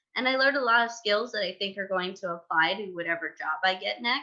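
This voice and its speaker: A woman talks at a fairly quick pace. She has an unremarkable speaking voice. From New York. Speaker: former disaster relief corps member, writer. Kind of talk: podcast interview.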